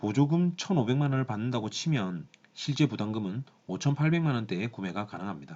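Lively intonation marks this man's speech, which moves at a fairly quick pace. His voice has a dark, mellow tone. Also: quiet background. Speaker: car reviewer. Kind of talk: product review talk to camera.

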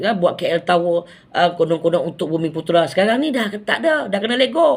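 A man speaks with a Malaysian accent. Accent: Malaysian Malay. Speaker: political commentator vlogger. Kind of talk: angry rant. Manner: indignant, sarcastic, scolding; rhetorical, mocking, emphatic.

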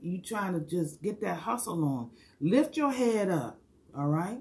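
Woman's somewhat breathy voice at medium pitch, fairly slow pace and lively intonation. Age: 60s. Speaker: hair stylist and hula hoop fitness coach; hula hoop fitness coach. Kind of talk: live stream monologue. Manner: animated. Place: home room. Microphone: phone near.

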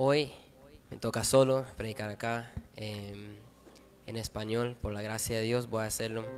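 A man's monotone, flat intonation at a fairly slow pace, with faint music in the background. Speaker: preacher at youth service. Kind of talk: sermon. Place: church. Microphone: handheld.

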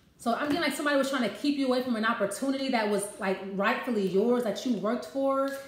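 Amid light background noise and audible room echo, a woman speaks at a high pitch and a fairly quick pace. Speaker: card reader. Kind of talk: casual card reading talk to viewers. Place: kitchen. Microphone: phone near.

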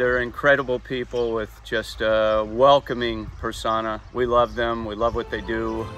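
A man speaks at a moderate pace. Faint music plays behind his dry, echo-free sound. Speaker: travel vlog host. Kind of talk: casual vlog chat. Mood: warm, upbeat. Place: garden.

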